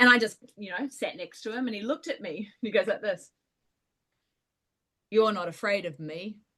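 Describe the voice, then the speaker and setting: With a New Zealand accent, a woman speaks at a fairly high pitch in a bright, sharp tone and lively intonation. She keeps a moderate pace, broken by long, frequent pauses. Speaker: paranormal storyteller. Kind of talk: storytelling in casual chat.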